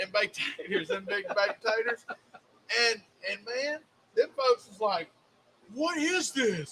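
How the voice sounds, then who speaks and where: Speaking with a Southern accent in an extremely high pitch, a man projects his raised voice at a fairly slow pace, with long, frequent pauses, big swings in loudness and lively intonation. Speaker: cooking show co-host. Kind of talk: casual chat. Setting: live stream studio.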